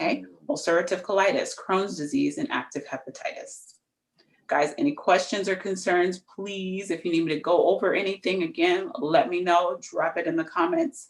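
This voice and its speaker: Her pitch is medium, and this woman speaks with lively intonation. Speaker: nurse practitioner, health educator. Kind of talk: live health talk. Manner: fast.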